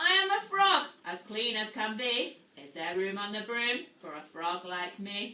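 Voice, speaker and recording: In a croaky, put-on character voice, a woman talks fairly slowly at a fairly high pitch with hardly any pauses. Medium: read story.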